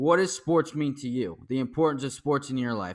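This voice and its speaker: A man with an ordinary speaking voice, medium pitch and ordinary pitch variation, on a very clean recording with a silent background. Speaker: podcast host and news anchor. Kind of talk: casual interview chat.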